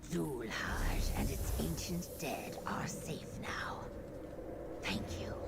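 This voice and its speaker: Whispering in a put-on character voice at a very slow pace, the speaker is heard over loud background noise. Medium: machinima. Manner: formal, measured.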